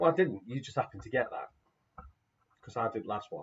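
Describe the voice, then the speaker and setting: Somewhat breathy, the man's voice moves along at a fairly quick pace. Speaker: quiz host. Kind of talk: live online quiz. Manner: quiet.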